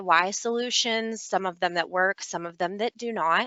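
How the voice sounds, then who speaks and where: Here is a woman with an ordinary speaking voice, medium in pitch, with ordinary pitch variation at a moderate pace. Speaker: business development manager, snow retention presenter. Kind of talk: webinar presentation.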